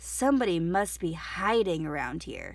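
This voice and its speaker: At a moderate pace and middle pitch, the speaker uses a put-on character voice. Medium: read story.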